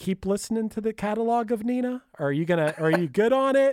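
With a strong Pittsburgh accent, a man talks at a very fast pace in a high pitch with lively intonation, on a very clean recording with a silent background and a dry, close sound with no echo. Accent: thick Pittsburgh. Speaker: podcast host. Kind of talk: casual chat.

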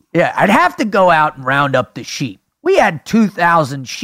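A man adopts a put-on character voice pitched high. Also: moderate pace. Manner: deliberate bad impression.

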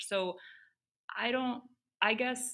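A woman with a Midwestern American accent speaks at a fairly slow pace. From US Midwest (Cleveland, Ohio). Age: 30s. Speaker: endurance athlete. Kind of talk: casual interview chat.

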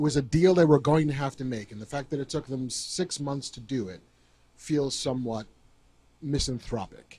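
Somewhat breathy, a man's voice shows ordinary pitch variation and big swings in loudness. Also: fairly high pitch for a man, moderate pace. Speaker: podcast co-host. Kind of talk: live podcast chat. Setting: stage with audience.

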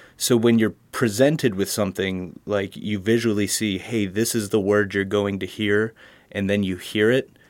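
A plain, everyday voice with an American accent, fairly even intonation, and a moderate pace, on a very clean recording with a silent background. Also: man. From Pennsylvania, Harrisburg. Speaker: college student and audio engineer. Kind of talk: interview.

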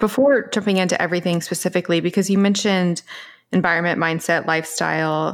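A woman with a fairly low pitch and fairly even intonation uses a normal speaking voice, captured on a very clean recording with a silent background. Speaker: podcast host. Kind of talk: interview chat.

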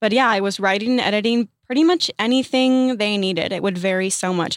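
A woman with an American accent talks at a fairly quick pace in an unremarkable speaking voice, her medium pitch showing ordinary variation, on a very clean recording with a silent background and a dry, close sound with no echo. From US South, southeastern Virginia. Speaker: social media creator. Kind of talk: casual chat. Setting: studio.

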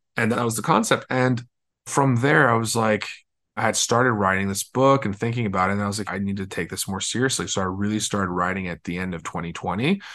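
The speaker talks at a very fast pace with a bright, sharp tone, ordinary pitch variation and a Californian accent. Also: man, fairly low pitch for a man, quiet background. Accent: Californian American. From Los Angeles. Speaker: entrepreneur and author. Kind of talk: interview conversation.

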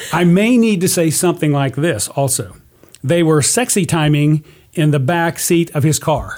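A man's fairly high-pitched, unremarkable speaking voice at a moderate pace. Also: ordinary pitch variation. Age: 60s. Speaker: guest, father of a host, true crime storyteller. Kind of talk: casual chat.

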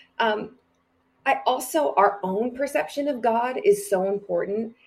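A woman's normal speaking voice with lively intonation, at a fairly slow pace. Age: 40s. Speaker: church leader and speaker. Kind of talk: casual chat.

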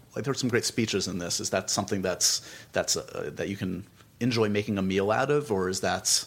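A man speaks at a fairly quick pace in a plain, everyday voice, his pitch fairly low with ordinary variation, on a very clean recording with a silent background. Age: 40s. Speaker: podcast host and film interviewer. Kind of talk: interview conversation; podcast intro. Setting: office.

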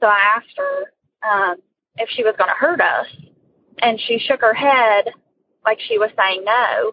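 The woman speaks at a fairly slow pace, with long, frequent pauses. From West Virginia. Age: 20s. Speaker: caller sharing a ghost story. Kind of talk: personal story told by phone. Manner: hesitant, many fillers.

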